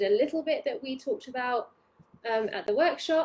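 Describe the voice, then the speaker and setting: In a British accent, a woman speaks at a high pitch. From UK. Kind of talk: live training webinar. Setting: Facebook live stream. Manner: casual, hesitant with many fillers.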